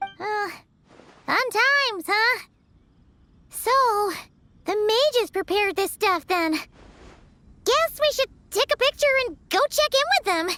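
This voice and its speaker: An extremely high-pitched, put-on character voice at a fairly slow pace, with long, frequent pauses. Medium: video game. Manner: excitable.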